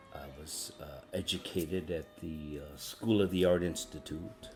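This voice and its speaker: With an American accent, a man speaks in a very deep, low pitch with ordinary pitch variation. His pace is fairly slow, and music plays in the background. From Michigan (Bay City), born Chicago. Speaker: artist, oral history interviewee. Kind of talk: oral history interview.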